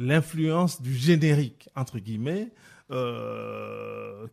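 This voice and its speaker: Against a silent background on a very clean recording, the words arrive at a very slow pace. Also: man. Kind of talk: radio discussion. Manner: animated, interrupting.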